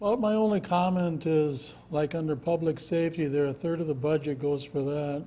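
A man with an Upper Midwest accent, fairly high pitch, ordinary pitch variation and a moderate pace. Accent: Upper Midwest (Minnesota). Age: 70s. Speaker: resident giving public comment. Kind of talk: public hearing testimony.

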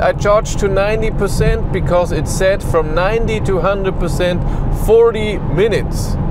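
Against loud background noise, a man speaks at a very slow pace with a dry sound and no echo. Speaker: car reviewer driving. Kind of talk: casual vlog chat. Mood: relaxed, lightly amused. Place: car.

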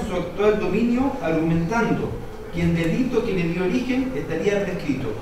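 Over noticeable background noise and strong room echo, a man talks at a fairly quick pace in a high voice. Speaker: conference panelist. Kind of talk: read academic talk. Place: hall.

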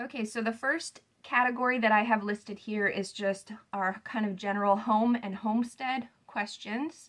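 At a moderate pace, a woman speaks at medium pitch with a fairly bright tone and fairly even intonation.

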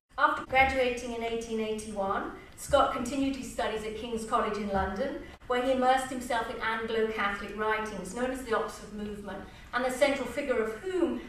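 A woman talks at a fairly quick pace with a fairly high pitch and ordinary pitch variation. Light background noise and audible room echo are present. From England. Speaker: English literature professor. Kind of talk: presentation. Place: stage.

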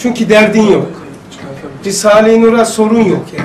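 There is light background noise and audible room echo as a man talks at a moderate pace in a high pitch. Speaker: religious teacher. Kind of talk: lecture. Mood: relaxed, conversational. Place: classroom.

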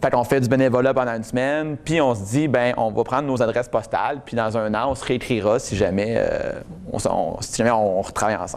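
A man with a Quebec accent speaks at a fairly quick pace, his intonation fairly even. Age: 30s. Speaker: testimonial speaker. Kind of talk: public talk. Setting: stage with audience. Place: meeting room. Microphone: lapel.

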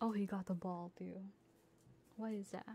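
A woman's somewhat breathy voice with a playful tone. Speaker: ASMR streamer / VTuber. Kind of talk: casual livestream chatter. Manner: playful, friendly, chatty.

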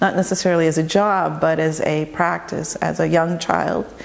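In an American accent, a woman with a very deep, low pitch speaks at a fairly slow pace in a monotone, flat way. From Arizona, Tucson; Arizona. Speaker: artist and curator. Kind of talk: interview monologue. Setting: home studio. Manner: hesitant, many fillers. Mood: calm, reflective. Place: workshop.

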